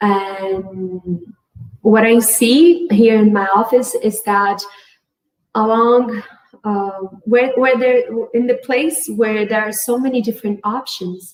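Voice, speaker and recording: A woman's fairly high voice in a Portuguese accent, at a very slow pace with long, frequent pauses and ordinary pitch variation. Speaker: integrative medicine physician. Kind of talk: conference talk. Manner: halting.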